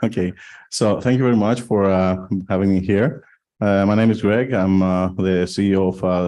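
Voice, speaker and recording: This man has a very deep, low pitch and a Greek accent. He talks at a moderate pace with ordinary pitch variation. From Greece. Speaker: blockchain foundation executive. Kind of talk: panel discussion. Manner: halting, many fillers.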